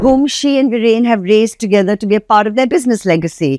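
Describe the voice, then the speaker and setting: A woman with an ordinary speaking voice talks at a medium pitch, her intonation lively. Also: dry, close sound with no echo. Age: 60s. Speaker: interview show host. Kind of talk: interview.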